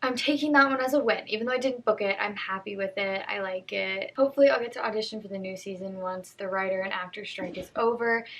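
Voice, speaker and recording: Over noticeable background noise, a woman talks very fast in a bubbly tone with ordinary pitch variation. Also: medium pitch for a woman, hardly any pauses. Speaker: actress and vlogger. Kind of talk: casual vlog commentary. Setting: at home.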